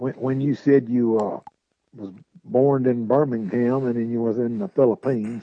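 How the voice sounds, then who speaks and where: A man speaks at a moderate pace. He has a Southern US accent. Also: medium pitch for a man, ordinary pitch variation. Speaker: radio host. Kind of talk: live local sports radio talk show, reading sponsors.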